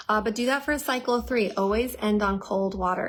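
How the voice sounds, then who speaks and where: Ordinary pitch variation in a woman's voice of medium pitch. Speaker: herbal health educator. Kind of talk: live Q&A stream. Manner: fast; animated.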